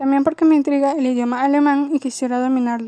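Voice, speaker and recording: Her voice high-pitched yet dark and mellow in tone, a woman speaks at a fairly quick pace in a monotone, flat way. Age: 20s. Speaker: university student. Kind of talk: scripted monologue. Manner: formal.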